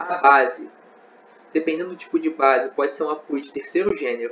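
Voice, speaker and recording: This man speaks at a moderate pace with a high pitch. His intonation stays fairly even. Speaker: engineering student tutor. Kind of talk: lecture. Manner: conversational, frequent fillers.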